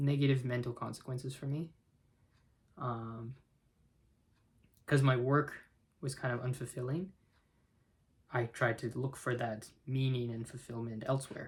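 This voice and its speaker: At a moderate pace, a man with a medium-pitched, somewhat breathy voice talks with fairly even intonation and long, frequent pauses. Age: 20s. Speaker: chemical engineer. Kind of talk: casual talk to camera.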